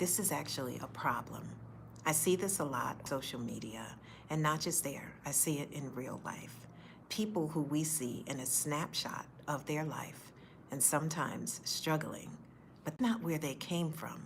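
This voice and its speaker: A woman with very deep, low pitch and vocal fry, at a moderate pace with ordinary pitch variation, amid audible room echo. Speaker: faith-based speaker sharing personal story. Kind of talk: personal testimony. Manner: occasional stutter; earnest, direct.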